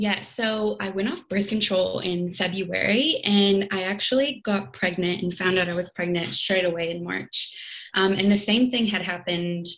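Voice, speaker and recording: Speaking at a fairly slow pace, a woman with an American accent has an unremarkable speaking voice at medium pitch with ordinary pitch variation. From United States. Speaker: podcast guest sharing miscarriage story. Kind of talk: personal testimony in casual interview.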